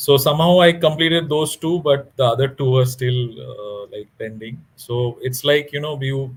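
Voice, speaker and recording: A man's fairly high, somewhat breathy voice at a moderate pace, with ordinary pitch variation, big swings in loudness and hardly any pauses. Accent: Bengali. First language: Bengali. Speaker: author. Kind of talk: interview. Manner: halting.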